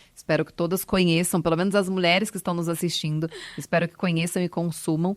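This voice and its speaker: With a São Paulo interior accent, the speaker rushes at a very fast pace in monotone, flat intonation, loudness swinging widely, in a dry, close sound with no echo. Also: woman, fairly low pitch for a woman. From Brazil, Ribeirão Preto (São Paulo interior). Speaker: retail company director. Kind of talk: interview.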